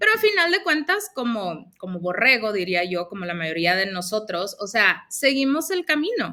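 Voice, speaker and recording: A loud woman at fairly high pitch with a northern Mexican accent, moderate pace, hardly any pauses and very wide pitch swings. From northern Mexico, Mexicali, Baja California. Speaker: former aviation sales professional, Access Consciousness practitioner. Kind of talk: interview. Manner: speaks a bit loud.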